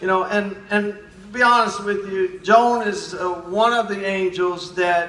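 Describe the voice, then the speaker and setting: A man with an American accent and a high pitch speaks at a fairly slow pace with fairly even intonation, over noticeable background noise. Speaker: naturopathic doctor. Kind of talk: speech.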